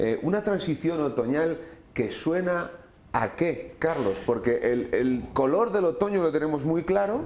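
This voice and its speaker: A man speaks at a fairly slow pace with a fairly high pitch and lively intonation. Audible room echo surrounds his voice. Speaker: magazine host. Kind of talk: TV magazine presenting and interviewing. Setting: studio. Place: studio.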